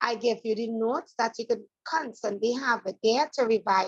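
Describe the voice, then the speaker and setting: The pace is fairly slow, with ordinary pitch variation. The sound is dry and close, with no echo. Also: woman. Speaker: math teacher. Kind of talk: online class lecture. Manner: soft-spoken.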